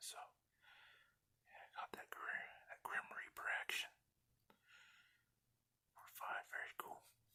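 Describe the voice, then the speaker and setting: The speaker whispers at a fairly slow pace. Long pauses come often. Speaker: ASMR creator. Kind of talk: ASMR card unboxing. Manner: whispered.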